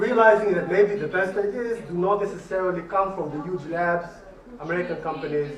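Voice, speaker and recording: A man speaks at a high pitch. Room echo is audible around his voice. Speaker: professor. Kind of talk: lecture. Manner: fast.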